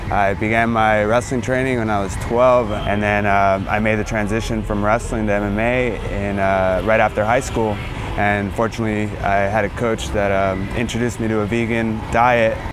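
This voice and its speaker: With noticeable background noise and audible room echo, a man speaks at a fairly low pitch and a moderate pace, in a monotone, flat intonation with hardly any pauses. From Mexicali and San Diego. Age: 20s. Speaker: mixed martial arts fighter. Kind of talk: interview testimony. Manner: casual with many fillers.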